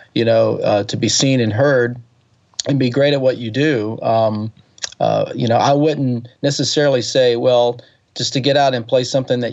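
A man with a Southern US accent talks at a medium pitch with fairly even intonation. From US South, Alabama (Birmingham area). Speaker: touring keyboard player and singer-songwriter. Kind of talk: interview conversation. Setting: phone call. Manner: hesitant, many fillers.

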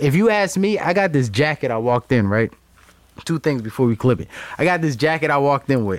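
A man with a fairly high pitch and an unremarkable speaking voice talks at a moderate pace. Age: 30s. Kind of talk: casual chat.

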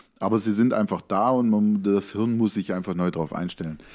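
At a moderate pace, a man talks in a normal speaking voice with a fairly low pitch. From Lake Constance region, southern Germany. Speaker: podcast co-host. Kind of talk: casual chat.

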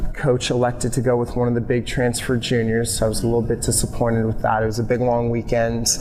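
Over noticeable background noise, a man with a Californian accent talks at a very fast pace and medium pitch, monotone and flat, at very even loudness and with hardly any pauses. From Oakland, California. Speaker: CrossFit coach. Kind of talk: casual interview chat.

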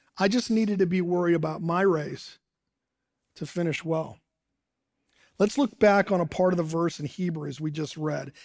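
Here a man speaks in a US Midwestern accent at a high pitch and a moderate pace. He leaves long, frequent pauses. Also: ordinary pitch variation. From Ohio, US Midwest (Dayton). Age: 60s. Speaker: pastor. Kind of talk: sermon. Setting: church service streamed online.

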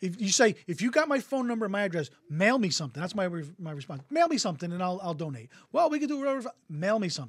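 Someone with an American accent speaks at a very fast pace on a very clean recording with a silent background. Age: 50s. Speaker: podcast host. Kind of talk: casual chat. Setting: studio, streamed live on Facebook.

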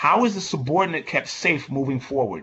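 A man speaks at a fairly quick pace in a normal speaking voice. His pitch sits fairly high, with lively intonation. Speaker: event moderator. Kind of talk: moderated panel discussion. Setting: video call.

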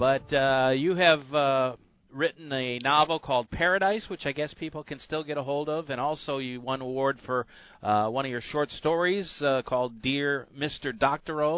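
A man talks at a moderate pace in a normal speaking voice, pitched fairly high, with ordinary pitch variation. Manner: brisk, friendly, broadcast-smooth with filler 'uh's; easy-going, steady pace.

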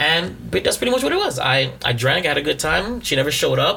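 Over noticeable background noise, a man talks at a moderate pace in an animated tone. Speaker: podcast co-host. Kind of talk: casual comedic banter. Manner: joking, animated.

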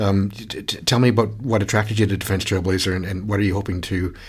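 A man with a Canadian accent speaks at a very fast pace in a very deep, low, somewhat breathy voice with fairly even intonation. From Canada. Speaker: podcast host, research institute director. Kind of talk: interview. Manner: halting, many repetitions.

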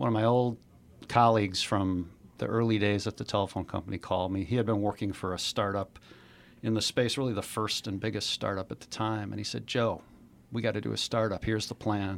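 A man with an American accent and an ordinary speaking voice, fairly low in pitch, at a fairly quick pace with fairly even intonation, on a very clean recording with a silent background. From Chicago. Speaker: investor and former executive. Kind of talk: interview.

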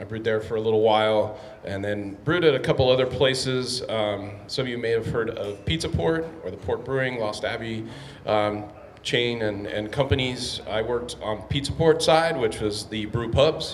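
Over noticeable background noise and audible room echo, a man with an American accent speaks at a moderate pace, with a medium pitch and ordinary pitch variation. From San Diego, California. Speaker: brewery owner. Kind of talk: Q&A conversation. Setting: live event with audience.

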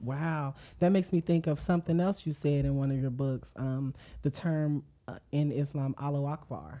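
A woman's very deep, low voice with a dark, mellow tone, at a moderate pace, on a very clean recording with a silent background. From Dayton, Ohio. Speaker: podcast host, astrology reader. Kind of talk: casual chat. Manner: animated.

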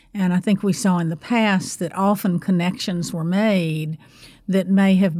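Speaking with an American accent, a woman has an unremarkable speaking voice at a medium pitch. Her pace is moderate and her intonation fairly even. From North Carolina. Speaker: university public service center director. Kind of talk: interview.

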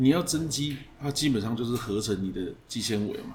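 With a Taiwanese accent, the speaker uses lively intonation at a moderate pace over noticeable background noise. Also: man. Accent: Taiwanese Mandarin. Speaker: fitness coach. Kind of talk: casual chat.

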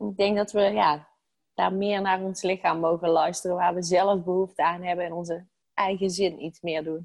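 Her voice fairly low, a woman talks at a moderate pace with monotone, flat intonation. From Netherlands, Brabant. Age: 30s. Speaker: stress coach. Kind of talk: interview.

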